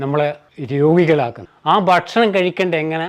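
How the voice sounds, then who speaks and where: A man talks at a fairly high pitch with ordinary pitch variation. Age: 60s. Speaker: retired government employee and athletics coach. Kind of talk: interview. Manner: halting.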